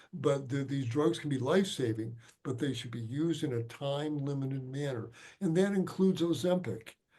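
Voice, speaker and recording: Somewhat breathy and dark, mellow in tone, a man with an American accent moves at a fairly quick pace with ordinary pitch variation amid audible room echo. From Chicago, US Midwest. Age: 70s. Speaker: physician. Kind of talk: lecture Q&A. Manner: halting.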